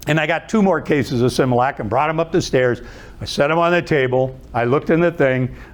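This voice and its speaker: A man talks at a very fast pace with an Ohio accent. His voice is fairly high, with ordinary pitch variation. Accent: Midwestern American (Ohio). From Youngstown, Ohio. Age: 70s. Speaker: motivational speaker and author. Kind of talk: inspirational talk with stories. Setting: stage with live audience.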